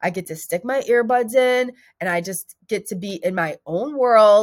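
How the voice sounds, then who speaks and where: A woman speaks at a fairly slow pace with lively intonation and a medium pitch, in an ordinary speaking voice. The recording is very clean, with a silent background. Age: 40s. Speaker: weight loss podcast host. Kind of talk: casual monologue.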